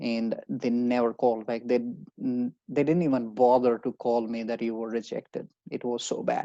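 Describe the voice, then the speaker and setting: A man with an Indian accent speaks at a moderate pace and medium pitch, with a dark, mellow tone and fairly even intonation, in a dry, close sound with no echo. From India, Haryana. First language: Hindi. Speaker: job-seeking advisor. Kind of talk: webinar presentation. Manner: halting.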